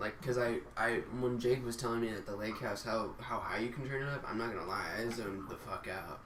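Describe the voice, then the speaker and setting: Quiet and at medium pitch, a man talks at a moderate pace amid audible room echo and noticeable background noise. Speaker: podcast co-host. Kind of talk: casual chat. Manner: quiet talker. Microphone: might be too quiet on recording.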